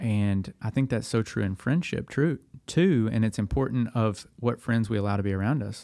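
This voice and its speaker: A man with a Tennessee accent has a dark, mellow tone and a medium pitch. The recording is very clean, its background silent. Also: ordinary pitch variation, moderate pace. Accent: US Southern (Tennessee). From Middle Tennessee. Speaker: young adult ministry worker, former pastor. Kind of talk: casual podcast interview.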